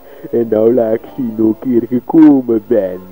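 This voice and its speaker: Clear music plays in the background as a man speaks, the sound dry with no echo. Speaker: scout narrator in character. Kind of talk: improvised comic narration. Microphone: old recording.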